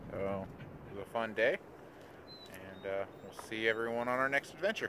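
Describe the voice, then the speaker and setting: A man talks at a moderate pace with ordinary pitch variation and big swings in loudness. The sound is dry with no echo, but noticeable background noise is present. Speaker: family vlogger. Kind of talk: casual vlog chat. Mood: relaxed, wrapping up day. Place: open country. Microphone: phone near.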